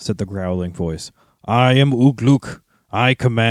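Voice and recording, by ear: Over a quiet background, the text is read aloud in a natural voice.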